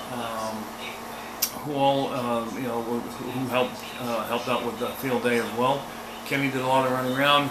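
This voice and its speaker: Medium-pitched male voice, flat and monotone, at a moderate pace, with audible room echo and noticeable background noise. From New England. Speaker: amateur radio operator and channel host. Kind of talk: casual vlog outro. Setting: outdoor field day event. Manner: halting, many fillers.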